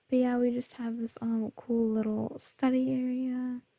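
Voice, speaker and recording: At a very slow pace, the speaker is soft-spoken with a calm tone. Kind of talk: ASMR soft-spoken gameplay tour. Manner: soft-spoken, calm.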